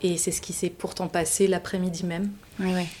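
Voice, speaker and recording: With a dark, mellow tone, a woman talks at a fairly quick pace in a fairly low pitch and a flat, monotone intonation. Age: 40s. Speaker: mother and parenting facilitator. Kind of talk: testimony.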